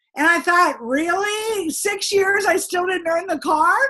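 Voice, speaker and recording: An animated woman with an American accent, at a moderate pace. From United States. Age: 60s. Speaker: direct sales trainer. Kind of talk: sales training talk with personal story.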